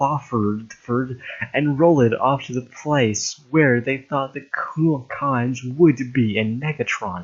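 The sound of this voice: Reading in an unforced voice, the speaker lets the pitch vary an ordinary amount.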